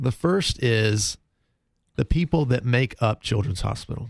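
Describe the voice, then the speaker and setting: Speaking very slowly in an American accent, a man with a medium-pitched, somewhat breathy voice uses lively intonation, recorded with a dry, close sound and no echo. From US South, North Carolina (Concord). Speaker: hospital fundraising executive. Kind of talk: radio interview. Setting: radio studio.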